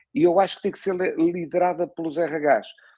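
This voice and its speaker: The background is quiet as a man speaks in a high pitch with ordinary pitch variation. His tone is dark and mellow. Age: 60s. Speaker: podcast host. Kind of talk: interview conversation. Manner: halting, many repetitions.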